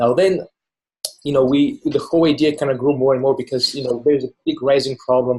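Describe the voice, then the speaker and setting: A fairly high-pitched, somewhat breathy man with a dark, mellow tone, at a fairly quick pace and with fairly even intonation. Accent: Bulgarian. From Bulgaria. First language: Bulgarian. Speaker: filmmaker. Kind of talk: interview. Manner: casual, with many fillers.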